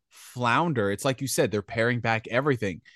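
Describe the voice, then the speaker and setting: A man with a normal speaking voice, medium pitch and lively intonation, recorded dry and close with no echo against a quiet background. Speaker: gaming commentator. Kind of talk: casual chat.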